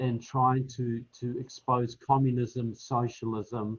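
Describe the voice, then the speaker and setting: Speaking very slowly with a New Zealand accent, a man keeps a flat, monotone delivery. His medium-pitched voice is somewhat breathy. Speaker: political author and speaker. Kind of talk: panel discussion.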